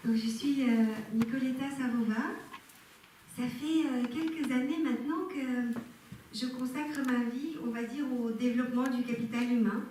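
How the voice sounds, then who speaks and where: A woman with a Bulgarian accent speaks at a fairly slow pace, her pitch high and her intonation fairly even, leaving long, frequent pauses. Audible room echo and noticeable background noise fill the recording. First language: Bulgarian (speaking French). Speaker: personal development speaker. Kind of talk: talk to a live audience. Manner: hesitant, many filler sounds.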